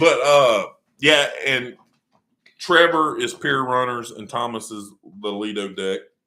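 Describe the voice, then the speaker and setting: In a Louisiana accent, a man speaks at a fairly slow pace with big swings in loudness and long, frequent pauses. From North Louisiana. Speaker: vlogger. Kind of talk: casual chat. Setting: livestream.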